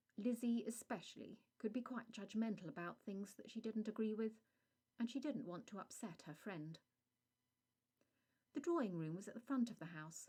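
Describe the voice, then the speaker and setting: Somewhat breathy and dark, mellow in tone, a woman speaks at a fairly high pitch and moderate pace with lively intonation. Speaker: author reading her own story. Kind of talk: audiobook narration of a vampire short story.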